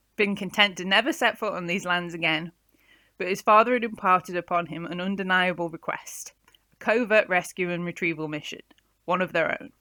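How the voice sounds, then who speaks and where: A woman with a medium pitch and a bright, sharp tone sounds shaky at a moderate pace, her loudness swinging widely on a very clean recording with a silent background. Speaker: author. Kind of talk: reading aloud.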